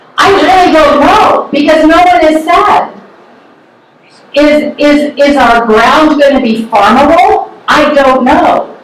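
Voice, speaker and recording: Amid noticeable background noise and audible room echo, a woman with an American accent speaks very slowly in a high voice, with ordinary pitch variation and very even loudness. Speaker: public commenter. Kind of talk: public comment at a meeting. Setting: crowded meeting room.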